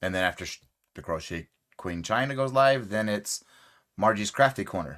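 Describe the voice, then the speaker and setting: On a very clean recording with a silent background, a man speaks at a moderate pace in a fairly low pitch with lively intonation. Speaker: crochet youtuber. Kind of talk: casual live stream chat. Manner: casual, conversational normal voice.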